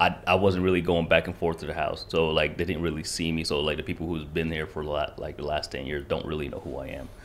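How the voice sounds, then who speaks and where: A man talks at a very fast pace in a very deep, low voice with vocal fry. There are hardly any pauses. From rural Kentucky (raised from childhood; born in Rwanda). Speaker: genocide survivor, Marine veteran and barber. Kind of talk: casual interview conversation. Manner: animated, laughs often.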